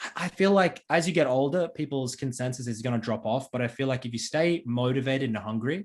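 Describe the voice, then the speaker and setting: A man with an unremarkable speaking voice talks at a fairly quick pace and medium pitch, with ordinary pitch variation and hardly any pauses. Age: 20s. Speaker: esports streamer and former pro player. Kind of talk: interview.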